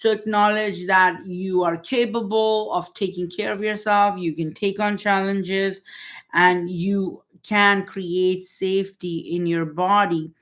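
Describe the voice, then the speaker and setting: In a very clean recording with a silent background, a woman with a normal speaking voice talks at medium pitch, fairly slowly, with fairly even intonation. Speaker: holistic healing coach. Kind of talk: live-stream talk. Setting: livestream.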